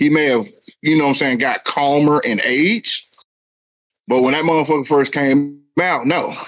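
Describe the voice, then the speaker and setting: This man has an ordinary speaking voice, pitched fairly high, with ordinary pitch variation. He keeps a moderate pace and very even loudness. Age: 40s. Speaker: podcast host. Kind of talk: casual chat.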